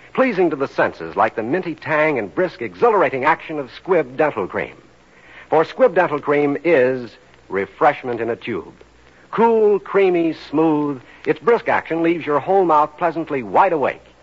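Against noticeable background noise, a man speaks at a moderate pace, his fairly high pitch swinging very widely. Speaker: radio announcer. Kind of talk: scripted radio announcement and advertising. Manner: formal.

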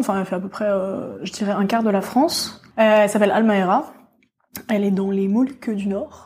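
The woman's tone is dark and mellow. She talks at a fairly quick pace. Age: 20s. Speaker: exploration geologist. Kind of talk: casual interview. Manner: hesitant, many fillers.

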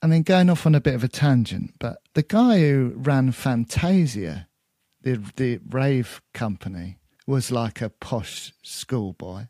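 Dry and close with no echo, this recording has a man speaking at medium pitch. His pace is very slow but his intonation is lively. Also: very clean recording, silent background. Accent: British. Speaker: podcast host. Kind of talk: casual podcast chat.

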